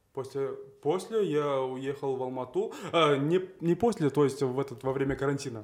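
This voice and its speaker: A man's pitch moves in an ordinary way as he talks at a moderate speed. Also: fairly high pitch for a man. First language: Kazakh (speaking Russian). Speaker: blogger, TikToker. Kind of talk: casual chat.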